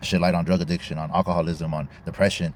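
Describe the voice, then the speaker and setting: This man's pitch sits very deep and low. He has an American accent. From California, Bakersfield. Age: 30s. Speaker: content creator and musician. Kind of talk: casual monologue. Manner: casual, slangy.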